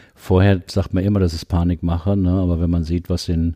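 Dark, mellow tone with monotone, flat intonation. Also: man. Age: 70s. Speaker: psychologist and leadership coach. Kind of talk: interview conversation. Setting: his practice.

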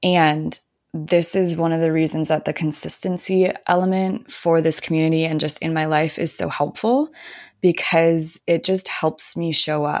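This woman has a normal speaking voice, fairly low in pitch, with fairly even intonation. She talks at a moderate pace on a very clean recording with a silent background. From Minnesota. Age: 30s. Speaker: spiritual guide. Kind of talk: casual chat.

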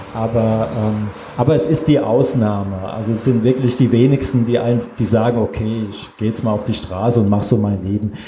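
A man's medium-pitched voice at a fairly quick pace with hardly any pauses and fairly even intonation, amid audible room echo and noticeable background noise. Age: 40s. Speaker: photographer. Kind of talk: panel discussion.

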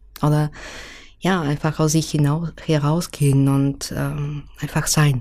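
Her voice sits very deep and low, and her loudness stays very even. The woman speaks very slowly with a non-native accent. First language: not German (speaking German). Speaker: illustrator. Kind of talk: interview. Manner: hesitant, many filler sounds.

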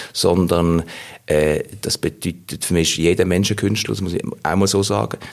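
Speaking with ordinary pitch variation, a man has a very deep, low pitch. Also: moderate pace. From Basel, Switzerland. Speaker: voice actor and actor. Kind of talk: interview.

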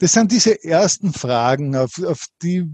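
Dry and close with no echo, the sound carries a dark, mellow tone. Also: man. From Austria, Linz, Upper Austria. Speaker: entrepreneur and author. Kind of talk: interview.

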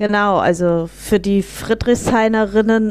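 Her intonation stays monotone and flat. The woman talks very slowly. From Berlin, Germany. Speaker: local politician. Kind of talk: political interview. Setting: video call.

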